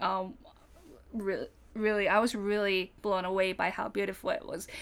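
In a Japanese accent, a woman speaks with a fairly high pitch and a bright, sharp tone. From Japan, Fukuoka. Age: 30s. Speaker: stationery user, non-collector. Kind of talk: casual chat.

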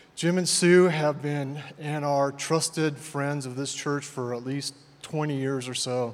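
There is audible room echo and noticeable background noise. A man with a fairly high pitch talks at a fairly slow pace with fairly even intonation. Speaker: church elder. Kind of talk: introduction speech. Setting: church. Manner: reserved.

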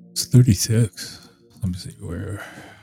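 Music plays in the background as the speaker talks at a very slow pace with ordinary pitch variation. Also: man. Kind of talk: casual chat.

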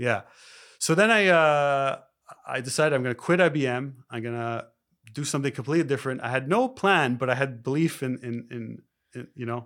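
This man has an unremarkable speaking voice with a Canadian accent. His fairly high pitch carries ordinary variation at a fairly quick pace. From Canada (Toronto). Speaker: spiritual life coach. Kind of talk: casual interview.

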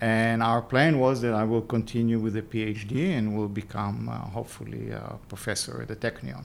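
In an Israeli accent, a man with a fairly low pitch and ordinary pitch variation speaks at a moderate pace with hardly any pauses. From Israel, Jerusalem. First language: Hebrew. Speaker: tech entrepreneur. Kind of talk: interview.

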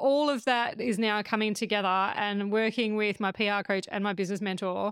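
A woman with a fairly high pitch is heard on a very clean recording with a silent background. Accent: Australian. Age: 40s. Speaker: podcast host. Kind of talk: casual chat.

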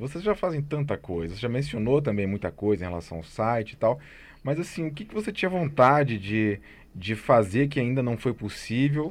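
Very wide swings in pitch from a man talking at a moderate speed. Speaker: podcast host, music institute director. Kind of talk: interview.

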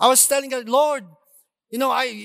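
Recorded dry and close with no echo, a man speaks in an extremely high voice with a Filipino accent. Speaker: preacher. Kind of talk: sermon. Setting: church with congregation.

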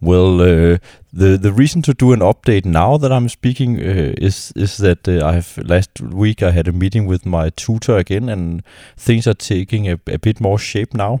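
Speaking with a Danish accent, a man with a very deep, low pitch and a dark, mellow tone talks at a moderate pace with ordinary pitch variation, the sound dry and close with no echo on a very clean recording with a silent background. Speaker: music academic and PhD student. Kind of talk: solo podcast monologue. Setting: at home on couch. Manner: halting.

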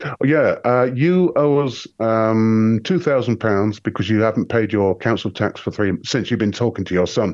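A man in an English accent speaks at a medium pitch and moderate pace, with very even loudness, ordinary pitch variation and hardly any pauses. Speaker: conspiracy researcher. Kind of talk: casual chat.

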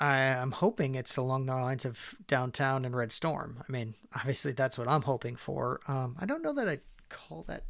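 A man with an ordinary speaking voice, medium pitch and a moderate pace, hardly any pauses, on a very clean recording with a silent background. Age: 40s. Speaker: board game podcast co-host. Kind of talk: casual chat.

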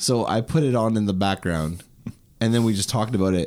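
Speaking at a fairly quick pace, a man is heard. His tone is dark and mellow. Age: 30s. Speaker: podcast host. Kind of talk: casual chat.

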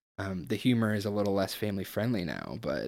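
With a normal speaking voice, a man talks at a moderate pace, his pitch fairly low with ordinary variation. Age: 20s. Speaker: podcast guest. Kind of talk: casual chat.

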